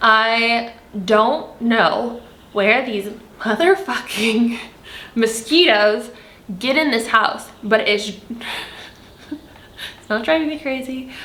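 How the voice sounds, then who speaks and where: A woman's animated, fairly high voice, with noticeable background noise and audible room echo. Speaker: spiritual content creator. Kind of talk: spiritual monologue to camera.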